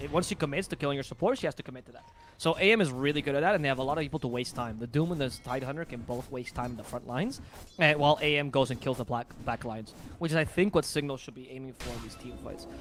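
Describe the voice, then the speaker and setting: Music plays in the background as a man with a non-native accent talks at a very fast pace in a fairly high-pitched voice with an animated tone. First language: not English. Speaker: esports commentator. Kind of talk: live commentary.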